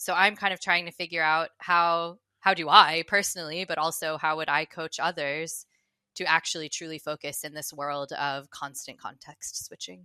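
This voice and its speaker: A woman with an American accent and a fairly low pitch speaks at a moderate pace in a bright, sharp tone with monotone, flat intonation and big swings in loudness, in a very clean, dry, close recording with a silent background and no echo. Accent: American accent still noticeable. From United States. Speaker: customer success advisor. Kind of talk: podcast interview.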